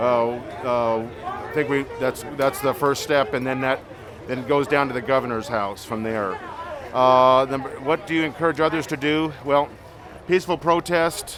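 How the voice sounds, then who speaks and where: Noticeable background noise sits behind a man's fairly high voice. He keeps a moderate pace with ordinary pitch variation. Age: 50s. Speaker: protester, maintenance worker. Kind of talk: street interview. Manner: halting, many fillers.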